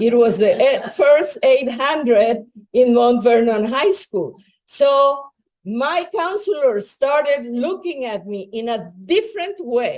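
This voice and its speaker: Speaking very slowly with a Spanish accent, a woman uses a high pitch and very wide pitch swings. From Bolivia. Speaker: educator and nonprofit founder. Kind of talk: public talk.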